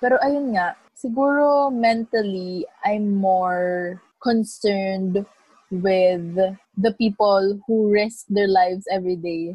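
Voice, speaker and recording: A woman speaks very slowly at medium pitch, somewhat breathy, with ordinary pitch variation. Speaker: podcast co-host. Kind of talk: casual chat. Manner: animated.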